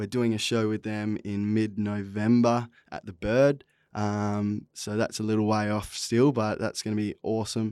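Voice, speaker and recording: Speaking in an Australian accent, a man keeps a moderate pace and a fairly low pitch, his intonation monotone and flat. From Western Australia (Esperance, then the Pilbara). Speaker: singer-songwriter. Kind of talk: casual podcast interview. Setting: studio.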